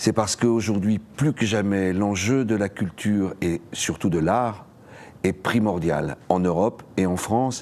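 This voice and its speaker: A man's fairly low voice moves along at a very slow pace. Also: ordinary pitch variation. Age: 60s. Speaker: theatre director and political candidate. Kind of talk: campaign statement to camera. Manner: hesitant, with fillers and repetitions.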